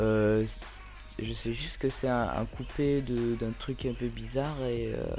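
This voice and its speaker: Over music in the background, a man speaks at a very slow pace, with audible room echo. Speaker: gaming youtuber. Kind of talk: gameplay commentary. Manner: hesitant, many fillers.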